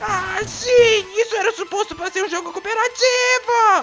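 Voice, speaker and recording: This cartoonish character voice has an extremely high pitch. Background noise is clearly audible. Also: moderate pace. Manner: polite, eager, mild.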